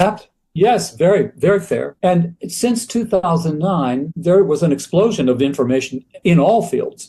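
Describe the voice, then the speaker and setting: Using lively intonation, a man with a high pitch talks at a fairly slow pace. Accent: American. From USA. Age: 80s+. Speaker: choral music scholar and author. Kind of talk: interview conversation.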